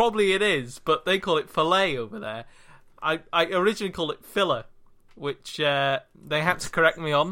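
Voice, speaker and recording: Someone with a Welsh accent talks at a fairly quick pace. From Wales. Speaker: podcast co-host. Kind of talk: casual banter podcast.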